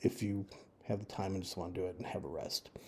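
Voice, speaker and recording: A somewhat breathy man's voice with an American accent and a dark, mellow tone. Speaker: travel advice video maker. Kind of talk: informal screen-share walkthrough. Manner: casual with fillers.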